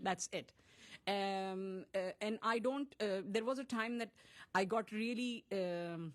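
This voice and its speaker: Speaking at a fairly slow pace, a woman talks in a Pakistani accent. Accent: South Asian (Pakistani) English. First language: Urdu. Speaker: playwright and director. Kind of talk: interview. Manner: halting, with many fillers and repeats.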